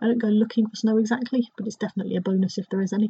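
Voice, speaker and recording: A woman with a southern English accent talks very fast with fairly even intonation. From Dorset, England. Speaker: travel blogger. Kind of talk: recorded contribution, casual.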